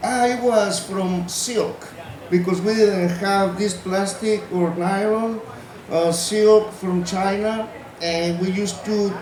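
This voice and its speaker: A man speaks in a high voice with flat, monotone intonation at a very slow pace. The room echoes audibly, and there is noticeable background noise. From Mexico, Gulf coast of Veracruz. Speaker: netmaker. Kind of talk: demonstration talk. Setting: festival stage with audience.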